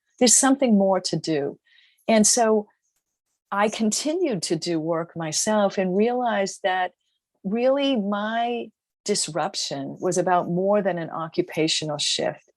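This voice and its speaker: In a Boston accent, a woman talks at a medium pitch. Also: lively intonation. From US Northeast, Boston. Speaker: author and business founder. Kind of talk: interview. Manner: halting.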